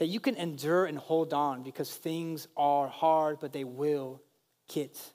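The speaker is a man. His voice has a fairly high pitch. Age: 30s. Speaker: pastor. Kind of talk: sermon. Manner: animated.

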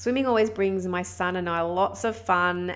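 A woman in an Australian accent at a moderate pace. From Australia (Sydney). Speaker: podcast host and women's fitness coach. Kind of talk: solo podcast monologue with tips.

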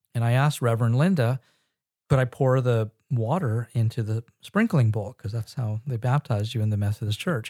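A somewhat breathy, dark and mellow voice with an American accent, fairly quick, with ordinary pitch variation, in a dry, close, echo-free sound on a very clean recording with a silent background. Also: man, medium pitch for a man. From Northern California and Israel. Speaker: pastor and ministry founder. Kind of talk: casual interview.

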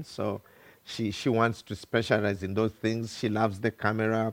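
With a Ugandan accent, a man talks at a moderate pace. His pitch sits fairly low. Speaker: pastor. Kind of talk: sermon. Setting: church.

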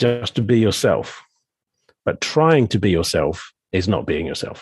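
A somewhat breathy man at a medium pitch, at a fairly slow pace with very wide pitch swings, on a very clean recording with a silent background. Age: 50s. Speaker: coach and podcast host. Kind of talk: casual chat.

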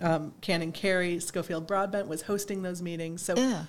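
In a very clean recording with a silent background, a plain, everyday voice with an American accent moves at a fairly quick pace with fairly even intonation. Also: woman. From western New York (East Aurora). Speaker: diocesan staff member and clergy. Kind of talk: casual interview.

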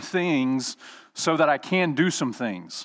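On a very clean recording with a silent background, a man with an Alabama accent talks at a fairly high pitch with ordinary pitch variation. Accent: US Southern (Alabama). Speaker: guest preacher. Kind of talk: sermon.

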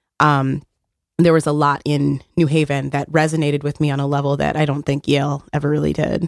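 In an American accent, a woman with a very deep, low pitch talks at a fairly quick pace in a monotone, flat intonation. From Texas, El Paso. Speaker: community organizer. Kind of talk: radio interview. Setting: radio studio.

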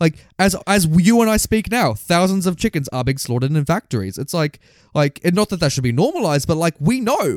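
Lively intonation and a fairly quick pace mark this Australian accent, recorded very cleanly with a silent background and a dry, close sound with no echo. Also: man. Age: 20s. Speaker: film podcast co-host. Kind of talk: casual chat.

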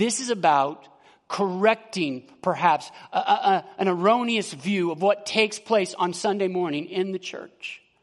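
At a fairly slow pace, a man speaks in a high voice with ordinary pitch variation. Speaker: pastor. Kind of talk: sermon. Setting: church.

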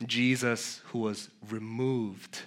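An American accent comes through in a man's bright, sharp tone. The recording is very clean, with a silent background. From New York City (Queens, Flushing). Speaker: pastor. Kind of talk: sermon.

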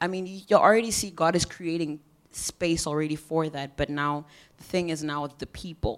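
This woman has an unremarkable speaking voice, pitched fairly low, and moves at a moderate pace. The recording is very clean, over a silent background. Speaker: audience member asking a question. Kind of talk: asking a question.

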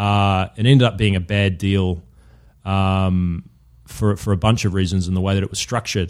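A man's fairly low, monotone voice with flat intonation, in a New Zealand accent. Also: moderate pace. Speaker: shoe company co-founder, former professional footballer. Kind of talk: interview. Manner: halting, many false starts.

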